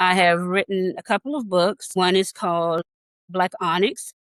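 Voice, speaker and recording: In a normal speaking voice, a woman talks at a moderate pace and medium pitch, the sound dry and close with no echo. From US, military family (moved around). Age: 60s. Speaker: author and former daycare worker. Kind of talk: casual interview chat. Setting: studio.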